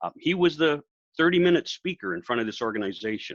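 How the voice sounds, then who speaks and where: Speaking at a moderate pace with very wide pitch swings, a man with an American accent is heard in a dry, close sound with no echo against a quiet background. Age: 70s. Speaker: professional speaker. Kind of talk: casual interview.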